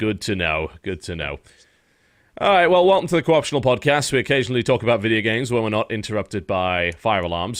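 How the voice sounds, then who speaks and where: Talking at a fairly quick pace, a man with a British accent sounds animated. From Britain. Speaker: podcast host. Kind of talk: casual chat.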